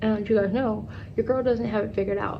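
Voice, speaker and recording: Fairly quick speech from a woman amid audible room echo. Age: 20s. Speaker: travel vlogger. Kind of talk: casual chat. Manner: fast; animated.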